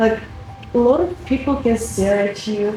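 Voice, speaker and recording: A woman's fairly high voice at a moderate pace, with audible room echo and music in the background. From Russia. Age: 20s. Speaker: international student. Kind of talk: interview.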